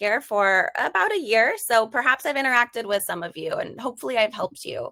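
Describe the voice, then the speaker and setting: Here a woman speaks in an American accent. Her fairly high voice has a bright, sharp tone and ordinary pitch variation. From US Midwest, Wisconsin. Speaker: customer team member, webinar presenter. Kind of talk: casual webinar intro.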